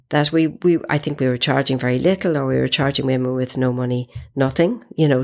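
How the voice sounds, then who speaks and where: A woman talks at a fairly quick pace with a very deep, low pitch. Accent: Irish. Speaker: feminist activist. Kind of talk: interview. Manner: halting, repeats words.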